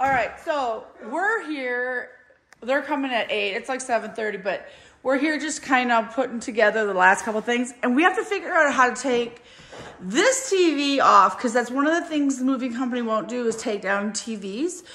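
Lively intonation from a woman pitched high. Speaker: vlogger filming a friend's move. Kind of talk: casual vlog chat. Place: home room. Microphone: phone near.

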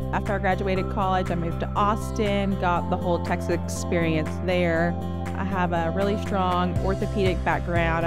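With loud music in the background, a woman speaks at a moderate pace in an American accent, the sound dry with no echo. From Louisiana, US South. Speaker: nurse practitioner. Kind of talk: staff introduction talk to camera. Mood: warm, friendly. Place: office. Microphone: lapel.

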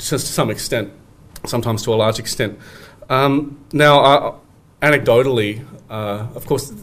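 A man with an Australian accent, fairly even intonation and moderate pace, over light background noise. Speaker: academic researcher; conference presenter. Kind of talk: conference presentation. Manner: halting, many fillers. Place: hall. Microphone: podium.

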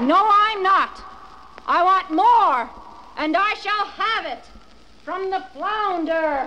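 A put-on character voice, shrill and extremely high, speaks at a very slow pace with long, frequent pauses. There is clear background noise. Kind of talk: children's record dramatization. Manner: shrill, nagging, greedy.

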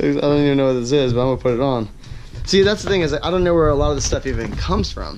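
Ordinary pitch variation at a fairly quick pace, with noticeable background noise. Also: man. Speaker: pro bike rider vlogger. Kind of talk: casual vlog chat. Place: garage. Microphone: phone near.

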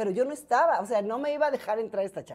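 Her tone dark and mellow, a woman speaks at a very fast pace. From Mexico, Guadalajara; Jalisco, Mexico. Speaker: entertainment journalist. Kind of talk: casual interview chat. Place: cafe. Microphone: lapel.

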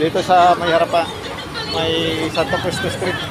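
The speech moves at a fairly slow pace. The sound is dry with no echo, and crowd noise runs in the background. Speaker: market vlogger. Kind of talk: casual vlog chat. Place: market. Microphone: phone near.

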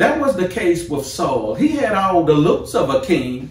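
A man talks at a moderate pace, with audible room echo. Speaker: pastor. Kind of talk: sermon. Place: office. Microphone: camera far.

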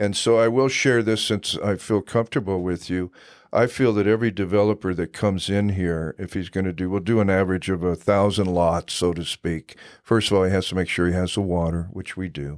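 A man with an American accent, very deep and low in pitch, fairly even in intonation and fairly quick, on a very clean recording with a silent background. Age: old. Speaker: city council candidate. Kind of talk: interview.

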